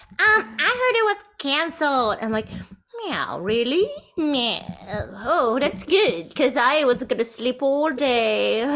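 Using a put-on character voice, a woman pitches it high. Her pace is fairly slow. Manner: lazy, playful.

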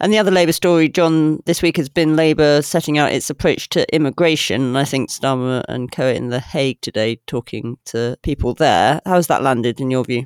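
Fairly quick, nearly pause-free speech in a British accent. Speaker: podcast host. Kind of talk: political discussion podcast. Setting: studio.

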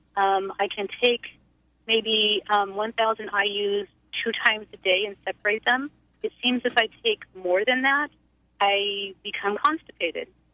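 With an ordinary speaking voice and an American accent, a woman talks at a fairly slow pace and fairly high pitch with fairly even intonation. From US Pacific Northwest. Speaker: caller. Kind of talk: phone-in question. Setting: phone call.

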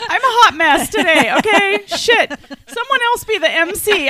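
At a fairly slow pace, a woman speaks in a raised, projected voice. Noticeable background noise sits behind her. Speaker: podcast host. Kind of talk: casual chat.

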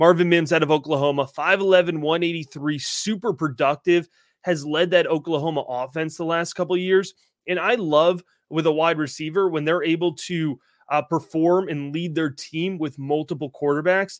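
On a very clean recording with a silent background, a man talks at a fairly high pitch with fairly even intonation. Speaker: fantasy football analyst. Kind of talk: casual chat. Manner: fast.

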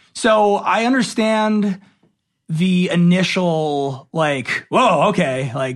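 With an American accent, a man speaks very slowly at a high pitch with lively intonation. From Los Angeles, US. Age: 20s. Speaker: actor and TV host. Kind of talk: casual chat.

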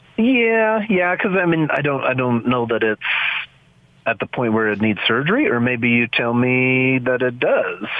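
A man's medium-pitched voice at a moderate pace with lively intonation and very even loudness, over noticeable background noise. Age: 40s. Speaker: landscaper caller. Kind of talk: phone call-in question. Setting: phone call.

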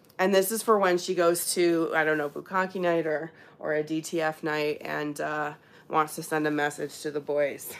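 Speaking at a moderate pace, the woman uses a very deep, low pitch and fairly even intonation. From Ontario, Canada. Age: 30s. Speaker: YouTuber and podcaster on swinging. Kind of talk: live stream Q&A. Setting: live stream on webcam. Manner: casual, filler-heavy.

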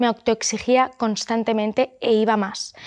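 A woman's normal speaking voice, fairly high-pitched with fairly even intonation, on a very clean recording with a silent background. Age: 30s. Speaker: influencer and entrepreneur. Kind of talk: interview.

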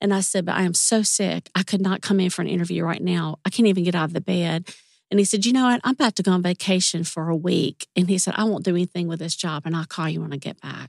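Fairly low pitch from a woman with a Southern US accent, ordinary pitch variation, hardly any pauses, dry and close with no echo. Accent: Southern US drawl. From US South, Mississippi. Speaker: retired music industry executive assistant. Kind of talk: casual interview chat. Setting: studio.

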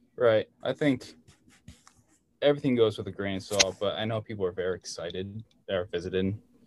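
A man speaks with an American accent at a moderate pace. His pitch varies in an ordinary way. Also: very clean recording, silent background. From Hudson Valley, New York. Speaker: barber. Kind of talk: casual chat.

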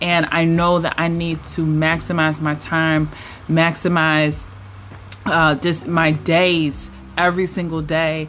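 Very slowly, a woman speaks at a fairly low pitch with monotone, flat intonation. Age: 30s. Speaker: relationship coach and podcast host. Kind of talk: solo podcast monologue.

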